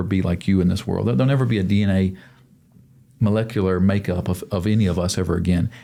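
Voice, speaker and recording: Delivered fairly quickly in an American accent, the voice has a dark, mellow tone and ordinary pitch variation. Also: man. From US South, Mobile, Alabama. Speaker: podcast guest, teacher of kids. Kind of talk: interview conversation. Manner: repetitive, halting with many restarts.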